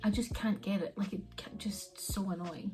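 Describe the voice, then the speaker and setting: Over noticeable background noise, the speaker keeps a moderate pace and fairly even intonation. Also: woman. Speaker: beauty vlogger. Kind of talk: makeup tutorial. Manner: casual, filler-heavy.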